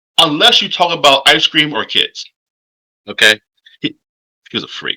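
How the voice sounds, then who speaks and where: Recorded dry and close with no echo, a man speaks with vocal fry in a bright, sharp tone. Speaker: political commentary vlogger. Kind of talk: casual political monologue.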